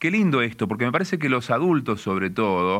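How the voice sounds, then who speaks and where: Vocal fry runs through this man's medium-pitched voice, which moves at a fairly quick pace with very wide pitch swings. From Argentina, interior of Córdoba province. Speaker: radio host. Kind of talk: radio talk show.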